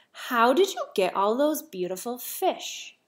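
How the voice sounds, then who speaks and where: Using a put-on character voice, a woman speaks at a high pitch with very wide pitch swings and a fairly slow pace. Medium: read story.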